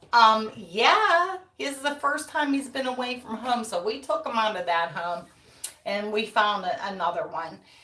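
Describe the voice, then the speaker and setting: Speaking with an American accent, a woman uses a fairly high pitch that swings very widely, at a moderate pace. Audible room echo and noticeable background noise fill the recording. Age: 60s. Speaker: wreath-making YouTuber. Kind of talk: casual livestream chat. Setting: live stream. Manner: chatty.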